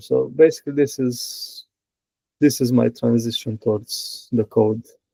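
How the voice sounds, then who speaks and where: A fairly slow delivery in a Romanian accent, dry and close with no echo. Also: man. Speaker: software engineer. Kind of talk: interview. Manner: halting.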